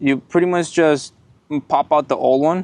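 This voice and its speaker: A man talks with a non-native accent. The sound is dry and close, with no echo. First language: not English. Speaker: car enthusiast YouTuber. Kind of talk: casual vlog tutorial. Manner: casual, halting with fillers.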